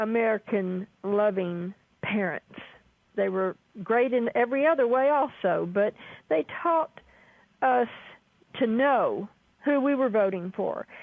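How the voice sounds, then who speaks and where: Her voice fairly high, a woman talks at a fairly slow pace with lively intonation, very even loudness and long, frequent pauses. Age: 60s. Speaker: caller. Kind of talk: call-in conversation. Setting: phone call.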